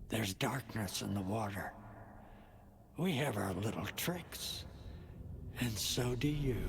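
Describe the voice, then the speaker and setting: A man performs a put-on character voice with lively intonation at a fairly slow pace, with long, frequent pauses. His loudness stays very even over clear background noise. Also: medium pitch for a man. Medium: video game. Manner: gravelly, cryptic, swaggering.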